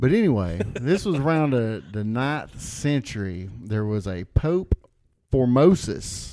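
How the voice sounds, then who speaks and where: A man with a medium pitch and a dark, mellow tone talks at a fairly slow pace. His pitch swings very widely. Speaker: podcast guest. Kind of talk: casual chat.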